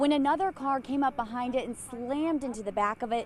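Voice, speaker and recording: A high-pitched woman speaks at a moderate pace with noticeable background noise. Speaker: TV news reporter and anchor. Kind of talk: TV news reporter delivery, live stand-ups and packages.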